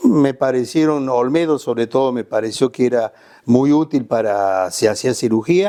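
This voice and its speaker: A man talks at a moderate pace with a medium pitch. His tone is dark and mellow, and his pitch varies in an ordinary way. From Córdoba province, Argentina. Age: 70s. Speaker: surgeon and clinical doctor. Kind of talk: interview answer.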